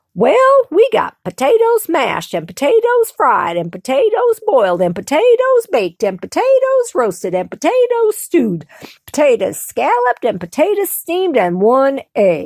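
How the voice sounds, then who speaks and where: Using a put-on character voice, a woman speaks high and at a moderate pace, with very wide pitch swings and hardly any pauses. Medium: read story.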